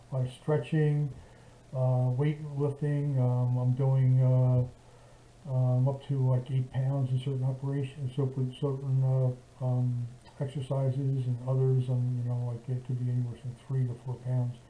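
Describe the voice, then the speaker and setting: A man's medium-pitched, somewhat breathy voice with a dark, mellow tone, monotone, flat intonation and a fairly slow pace. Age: 70s. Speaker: vlogger recovering from shoulder surgery. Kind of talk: casual video diary. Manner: halting, many fillers and restarts.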